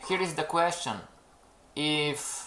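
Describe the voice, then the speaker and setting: The speech moves at a very slow pace. It carries a non-native accent. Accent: non-native English, self-noted pronunciation. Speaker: trading educator, webinar host. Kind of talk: live webinar talk to viewers. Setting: live stream.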